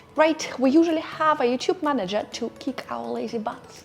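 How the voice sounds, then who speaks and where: Over music in the background, a woman with a non-native accent talks at a moderate pace in a high pitch with lively intonation. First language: not English. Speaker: YouTuber and business coach. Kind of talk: tutorial. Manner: animated.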